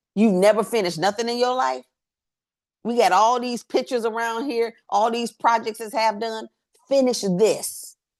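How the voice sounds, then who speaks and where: A woman's fairly high-pitched, animated voice at a moderate pace. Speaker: workshop facilitator. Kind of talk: workshop talk. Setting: livestream. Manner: loud.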